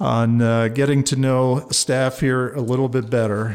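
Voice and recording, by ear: A man with an American accent at a fairly slow pace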